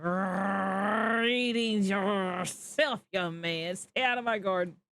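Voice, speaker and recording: A put-on character voice growls its words at a very slow pace. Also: man, high pitch for a man. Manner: growling, stern, annoyed.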